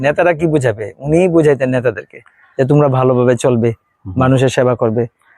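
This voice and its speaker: With a dark, mellow tone, a man talks with pitch that varies in an ordinary way. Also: very even loudness. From Bangladesh, born in Dhaka. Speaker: primary school teacher, relative of politician. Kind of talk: interview.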